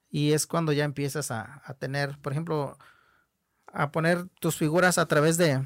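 In a very clean recording with a silent background, a man with a fairly high pitch speaks at a moderate pace using fairly even intonation. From Nayarit, Mexico (Huichol community). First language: Huichol (Wixárika) (speaking Spanish). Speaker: Huichol artist and teacher. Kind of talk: interview conversation.

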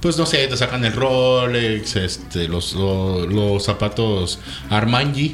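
Speaking at a very slow pace, a man uses lively intonation at a medium pitch and very even loudness, with noticeable background noise and audible room echo. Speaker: lawyer. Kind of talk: casual chat.

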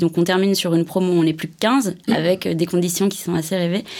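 A woman with a plain, everyday voice talks at a medium pitch and a fairly quick pace. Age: 30s. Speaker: creative director at an advertising agency. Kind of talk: interview. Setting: studio.

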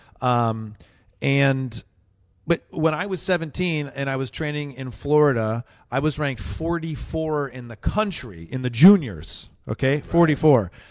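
An ordinary speaking voice, this man's fairly high pitch moves with lively intonation at a fairly slow pace, with big swings in loudness. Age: 30s. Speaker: comedian. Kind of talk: casual chat.

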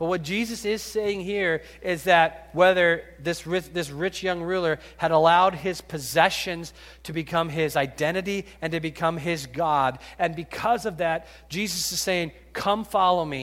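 This man's voice sits high in pitch, with fairly even intonation. He speaks at a fairly slow pace. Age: 50s. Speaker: pastor. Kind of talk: sermon. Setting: church.

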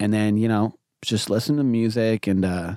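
A man speaks in a dark, mellow tone at a fairly low pitch. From moved often: India, China, Hong Kong, Fiji. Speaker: hip-hop artist. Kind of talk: casual chat. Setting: in a van.

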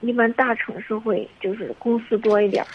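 A woman speaks at a moderate pace. Noticeable background noise runs beneath her. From Henan, China. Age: 20s. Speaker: caller seeking relationship advice. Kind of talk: phone-in advice call. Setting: phone call. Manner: halting.

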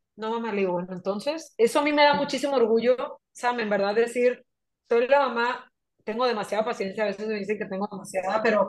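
Using a normal speaking voice, a woman talks fairly quickly at a fairly high pitch with ordinary pitch variation. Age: 30s. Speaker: entrepreneur and mother. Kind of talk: casual conversational interview.

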